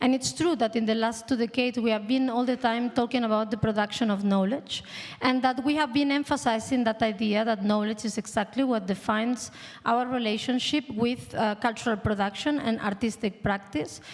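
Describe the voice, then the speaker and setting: Talking at a fairly quick pace, a woman with a Spanish accent keeps fairly even intonation and very even loudness against noticeable background noise. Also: fairly high pitch for a woman. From Spain. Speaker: panel moderator, art institute director. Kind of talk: panel discussion.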